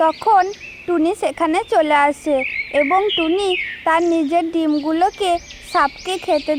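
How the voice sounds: A woman talks with an extremely high pitch. Her pace is fairly slow, with faint background noise.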